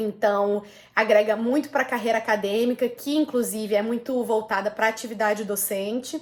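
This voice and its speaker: With an unremarkable speaking voice, the woman's pitch is fairly high and her intonation fairly even as she talks at a moderate pace. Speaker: lawyer and volunteer law lecturer. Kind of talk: career advice talk.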